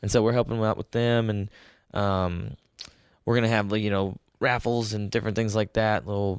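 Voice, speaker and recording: On a very clean recording with a silent background and a dry, close sound with no echo, a man with a fairly low pitch and an unremarkable speaking voice talks at a fairly quick pace with fairly even intonation. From Texas (Spring, near Houston). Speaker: band drummer. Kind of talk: casual chat.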